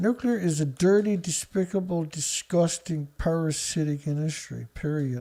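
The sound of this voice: In a Newfoundland accent, a man speaks at a fairly high pitch with a dark, mellow tone. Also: ordinary pitch variation, moderate pace. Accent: Newfoundland Canadian.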